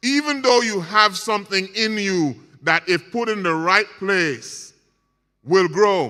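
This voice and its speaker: A man's raised, projected voice, high-pitched with a bright, sharp tone, at a very slow pace in a very clean recording with a silent background. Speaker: convocation speaker. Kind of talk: commencement address.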